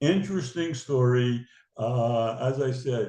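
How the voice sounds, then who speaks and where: This is a man speaking. His tone is dark and mellow. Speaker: businessman and synagogue lay leader. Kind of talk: interview.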